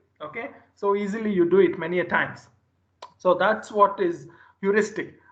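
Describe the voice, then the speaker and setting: With audible room echo around him, a man talks at a fairly quick pace in a high voice. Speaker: lecturer. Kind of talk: lecture. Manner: energetic.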